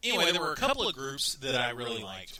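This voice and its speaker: With a Texan accent, a man speaks through noticeable background noise. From Texas. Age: 30s. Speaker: radio talk show host. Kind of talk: casual talk radio monologue. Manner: rambling with frequent repetitions.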